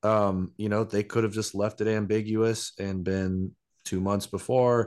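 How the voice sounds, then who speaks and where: A man speaks in a normal speaking voice, pitched fairly low. His pace is fairly slow and his intonation fairly even, over a quiet background. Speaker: podcast co-host. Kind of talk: casual chat.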